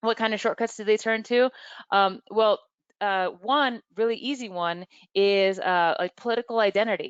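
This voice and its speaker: Against a quiet background, a woman with an ordinary speaking voice talks at a moderate pace and a fairly high pitch, with ordinary pitch variation and a dry, close sound with no echo. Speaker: webinar presenter, media bias researcher. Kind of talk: webinar presentation. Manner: many fillers and restarts.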